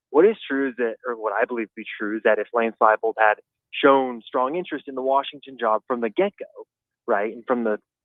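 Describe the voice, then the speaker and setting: Here is a man with a plain, everyday voice at a medium pitch and ordinary pitch variation. He talks at a fairly quick pace with big swings in loudness. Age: 20s. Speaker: sports journalist. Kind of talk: radio interview. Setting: phone call.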